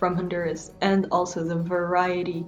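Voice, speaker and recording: Music plays in the background as a woman speaks. Her pitch is fairly low and her pace very slow. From Honduras, Tegucigalpa. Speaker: researcher and migration justice advocate. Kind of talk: interview answer.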